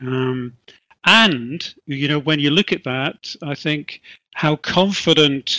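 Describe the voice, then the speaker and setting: A man with an English accent, fairly high in pitch and bright and sharp in tone, at a fairly slow pace, with a dry, close sound and no echo. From England. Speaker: HR consultant. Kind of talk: interview.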